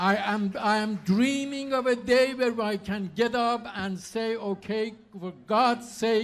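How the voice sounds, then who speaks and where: A man with a high pitch speaks at a very slow pace with fairly even intonation. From Iran. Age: 70s. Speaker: political candidate. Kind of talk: campaign speech.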